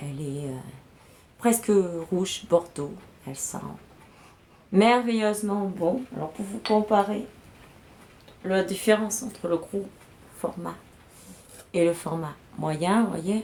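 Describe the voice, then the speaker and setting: A woman speaks very slowly with long, frequent pauses, at a medium pitch with ordinary pitch variation. Her loudness swings widely, and there is noticeable background noise. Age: 40s. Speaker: beauty product sales rep streamer. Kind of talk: live product unboxing sales stream. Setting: livestream. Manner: casual, hesitant with fillers.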